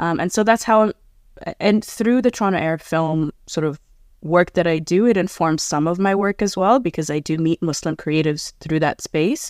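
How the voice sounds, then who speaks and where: A woman's plain, everyday voice, fairly low in pitch, at a moderate pace, with a dry, close sound and no echo. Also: ordinary pitch variation. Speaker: film producer and festival director. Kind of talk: panel discussion.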